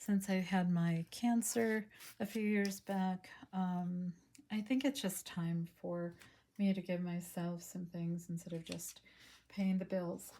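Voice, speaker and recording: A dark, mellow, somewhat breathy voice moves at a very slow pace with fairly even intonation. The recording is very clean, with a silent background. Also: woman, medium pitch for a woman. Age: 60s. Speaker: hobby artist showing art supplies. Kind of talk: casual product haul video. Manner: hesitant, many fillers.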